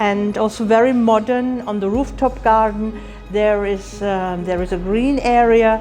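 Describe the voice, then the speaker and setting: A woman with ordinary pitch variation, over noticeable background noise. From Germany, Heidelberg. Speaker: college international director. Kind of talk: promotional address to camera. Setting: visiting a school in Lahore.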